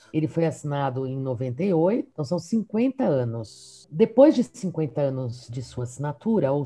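A dark, mellow voice, somewhat breathy, moves through very wide pitch swings at a fairly slow pace. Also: woman. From São Paulo, Mooca district. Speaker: university professor. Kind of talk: casual interview.

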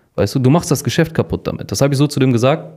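A man is speaking. His tone is dark and mellow. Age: 20s. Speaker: podcast co-host. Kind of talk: casual chat.

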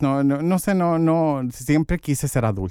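A man speaks fairly slowly. Behind him the background is silent, in a very clean recording. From Santa Ana, Orange County, California. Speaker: LGBTQ community organizer. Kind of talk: interview. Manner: halting, many fillers.

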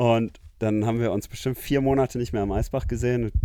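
A man's voice sits at a medium pitch with a dark, mellow tone. The intonation stays monotone and flat. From Namibia. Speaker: surfer. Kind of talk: casual chat.

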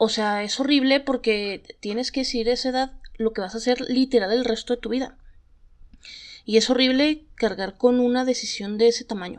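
A woman with a high voice keeps her intonation fairly even while talking at a moderate speed. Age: 30s. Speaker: podcast host. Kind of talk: casual storytelling monologue.

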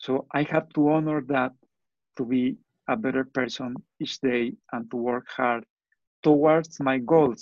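A man with a Spanish accent, fairly slow and fairly even in intonation, with long, frequent pauses, the sound dry and close with no echo over a quiet background. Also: medium pitch for a man. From Mexico. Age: 50s. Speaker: entrepreneur and engineer. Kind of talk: interview.

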